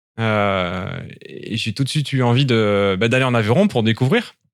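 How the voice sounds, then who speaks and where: Captured on a very clean recording with a silent background, a man's medium-pitched voice shows ordinary pitch variation. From southern France (Toulon). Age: 30s. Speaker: winegrower. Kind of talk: interview. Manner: hesitant, many fillers.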